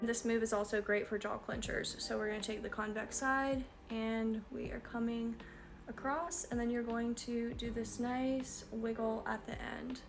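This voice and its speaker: Noticeable background noise sits behind a woman speaking in a fairly high pitch with monotone, flat intonation. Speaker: facial wellness instructor. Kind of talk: tutorial instruction to camera.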